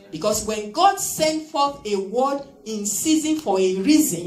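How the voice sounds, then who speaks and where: A woman speaks with audible room echo and faint music in the background. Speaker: preacher. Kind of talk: sermon. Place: church. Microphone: handheld.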